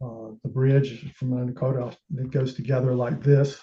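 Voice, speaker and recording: Speaking at a fairly slow pace, a man keeps a medium pitch and flat, monotone intonation. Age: 60s. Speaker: amateur telescope maker presenting his build. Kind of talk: technical presentation. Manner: halting, many filler sounds.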